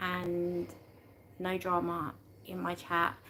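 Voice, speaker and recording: A woman speaks with a British accent. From UK. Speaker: YouTube livestreamer. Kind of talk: casual livestream chat. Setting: live stream. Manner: halting, many fillers and restarts.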